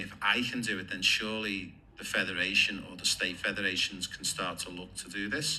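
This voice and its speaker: With a bright, sharp tone and a fairly low pitch, a man speaks amid audible room echo. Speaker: football coach and player agent. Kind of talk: interview.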